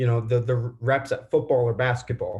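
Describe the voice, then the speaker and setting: A man's somewhat breathy voice moves along at a fairly quick pace. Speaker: journalism student. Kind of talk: Q&A question. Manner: halting.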